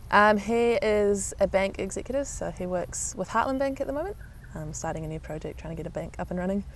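A woman talks very fast with a New Zealand accent. Her loudness swings widely. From New Zealand, Canterbury and Auckland. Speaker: netball player. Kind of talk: interview.

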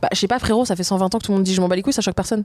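A woman's medium-pitched voice with an animated tone. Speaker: feminist activist and author. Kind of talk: interview conversation. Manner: animated, casual slang.

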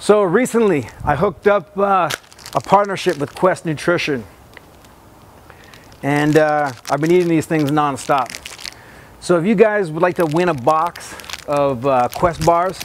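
The speech moves at a fairly slow pace with long, frequent pauses. Ordinary pitch variation comes through over light background noise. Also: man, dry sound with no echo. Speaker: boxing coach. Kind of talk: tutorial. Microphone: lapel.

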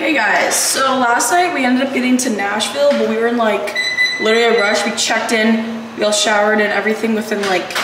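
With audible room echo and noticeable background noise, a woman speaks at a fairly quick pace with ordinary pitch variation. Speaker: vlogger. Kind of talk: casual vlog chat. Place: gym.

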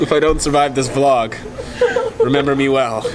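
A man at a moderate pace, medium pitch, with fairly even intonation and clear background noise

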